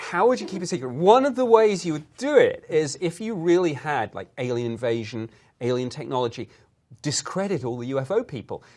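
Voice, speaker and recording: Using very wide pitch swings and big swings in loudness, a man talks at a fairly quick pace in a fairly high pitch. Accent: British. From Britain. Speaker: former government UFO investigator. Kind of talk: interview.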